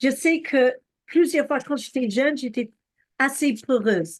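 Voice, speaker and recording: A woman talks in a high pitch. Her pitch varies in an ordinary way. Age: 60s. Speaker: preacher. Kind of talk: sermon. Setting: video call.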